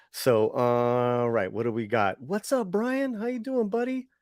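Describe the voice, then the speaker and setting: Fairly slow speech from a man with an American accent, dry and close with no echo. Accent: American accent when speaking Spanish. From Los Angeles, US. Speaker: livestream show host. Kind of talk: casual livestream chat. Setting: online livestream. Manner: halting, many fillers and repeats.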